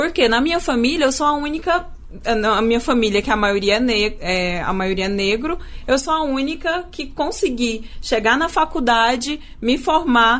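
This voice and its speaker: Her intonation is lively and her pitch high. This woman talks at a fairly slow pace. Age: 20s. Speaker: radio journalist and producer. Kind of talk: radio podcast interview.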